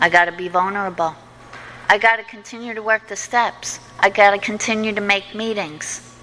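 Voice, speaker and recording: A woman with a plain, everyday voice speaks at a fairly quick pace and medium pitch, keeping her intonation fairly even while her loudness swings widely. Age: 60s. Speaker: recovery meeting speaker. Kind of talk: testimony.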